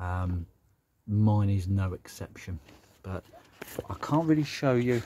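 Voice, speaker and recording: This is a man with a Birmingham accent. His voice sits fairly low in pitch. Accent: Brummie. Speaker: car hobbyist YouTuber. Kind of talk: casual vlog walkaround. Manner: hesitant, many fillers.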